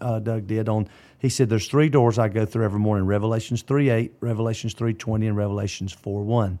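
A man talks at a very fast pace in a Southern US accent, his tone dark and mellow. The recording is very clean and the background silent. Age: 50s. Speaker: pastor. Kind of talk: casual chat.

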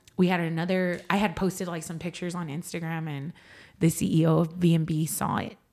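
With a San Antonio accent, a woman speaks in a fairly low voice with monotone, flat intonation. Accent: Texan, San Antonio. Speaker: singer-songwriter. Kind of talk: casual interview chat.

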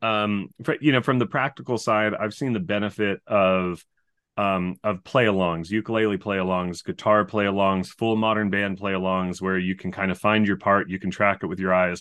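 It's a normal speaking voice: a man with a fairly low pitch going at a moderate pace with hardly any pauses. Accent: American. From California. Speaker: music education professor. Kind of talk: interview.

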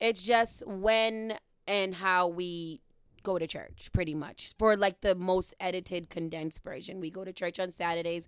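A woman with an American accent and a plain, everyday voice speaks at a moderate pace and medium pitch, with fairly even intonation and big swings in loudness, on a very clean recording with a silent background. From Boston, Dorchester (Upham's Corner). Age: 30s. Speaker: podcast host and radio worker. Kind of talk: casual chat. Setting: studio.

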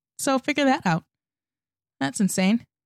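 Against a silent background on a very clean recording, a woman speaks with lively intonation at a fairly high pitch, the sound dry and close with no echo. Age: 20s. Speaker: podcast host. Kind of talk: casual monologue.

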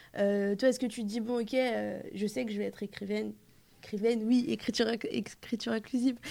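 An ordinary speaking voice: a woman at a fairly high pitch, talking at a fairly quick pace with fairly even intonation. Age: 20s. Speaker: interviewer. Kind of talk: interview.

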